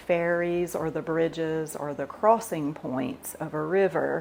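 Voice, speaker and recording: A woman speaks in a fairly low voice with a relaxed tone. Her pace is fairly slow. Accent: American. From US South. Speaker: cooking video host. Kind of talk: casual talk on scripture. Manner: relaxed, with fillers.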